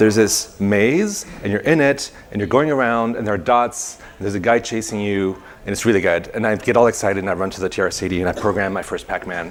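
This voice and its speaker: Very fast male speech, fairly low in pitch, its pitch varying in an ordinary way, over noticeable background noise. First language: not English. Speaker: conference speaker, software developer. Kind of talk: technical presentation. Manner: halting, many fillers.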